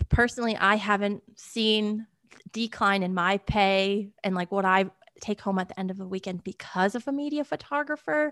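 A woman with an American accent uses an ordinary speaking voice at a medium pitch, a moderate pace and ordinary pitch variation, recorded with a dry, close sound without echo over a quiet background. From Connecticut, US Northeast. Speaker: horse show photographer and Army veteran. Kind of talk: casual interview.

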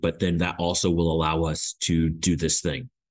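Over a quiet background, a man talks with a Midwestern American accent. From US Midwest, Indiana. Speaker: graduate student, immigrant. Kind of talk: interview. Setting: remote recording from university.

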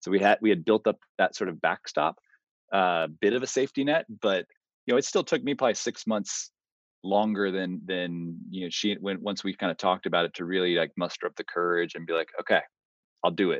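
Against a quiet background, a man with an American accent and an ordinary speaking voice talks fairly quickly in a fairly low pitch with ordinary pitch variation. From Texas, Austin. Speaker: real estate investor. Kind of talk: interview.

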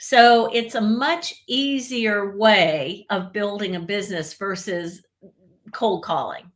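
A woman at a medium pitch with a slight Southern American accent, lively intonation, and a very slow pace. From US South, central Florida. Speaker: etiquette expert. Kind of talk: interview.

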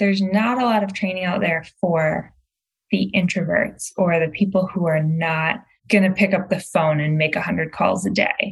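Somewhat breathy, a woman speaks with an American accent and fairly even intonation. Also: medium pitch for a woman, moderate pace. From Michigan, outside Detroit. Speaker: real estate coach. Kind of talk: interview conversation.

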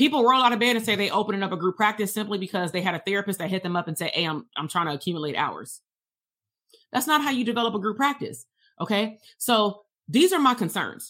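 Very fast speech with an animated tone, a bright, sharp sound and lively intonation plays in a very clean recording over a silent background. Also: woman, medium pitch for a woman. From Compton, Los Angeles, California. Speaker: psychologist and business coach. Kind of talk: livestream coaching talk. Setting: livestream.

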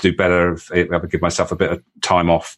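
A man with a British accent and a very deep, low voice at a fairly quick pace against a quiet background. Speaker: leadership coach. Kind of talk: interview conversation. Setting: call.

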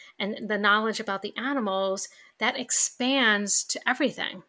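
In a very clean recording with a silent background, a woman with a New York accent speaks fairly slowly at a fairly high pitch, her tone both warm and bright, sharp. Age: 50s. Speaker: podcast host. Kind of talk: solo podcast monologue. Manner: conversational, warm.

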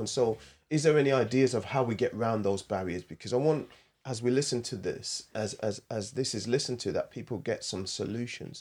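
On a very clean recording with a silent background, a man with a medium pitch and ordinary pitch variation talks in an ordinary speaking voice. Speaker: podcast host. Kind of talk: podcast discussion. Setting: studio.

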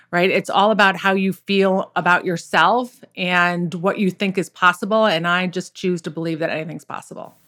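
A woman at medium pitch with a bright, sharp tone, monotone, flat intonation, a moderate pace and hardly any pauses, on a very clean recording with a silent background. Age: 50s. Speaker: golf pro and mindset coach. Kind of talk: casual interview.

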